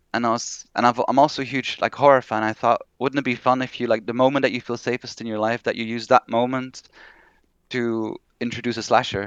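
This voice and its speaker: With a Flemish accent, a man talks at a fairly quick pace in a monotone, flat intonation, the sound dry and close with no echo against a quiet background. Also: medium pitch for a man. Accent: non-native English, Flemish. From Belgium (Flanders). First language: Dutch (Flemish). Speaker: horror novelist. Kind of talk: interview.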